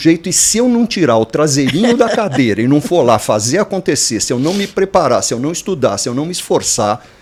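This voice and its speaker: Fairly quick, nearly pause-free speech from a man, very wide pitch swings, noticeable background noise behind him. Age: 70s. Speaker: franchise consultant. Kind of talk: podcast panel discussion.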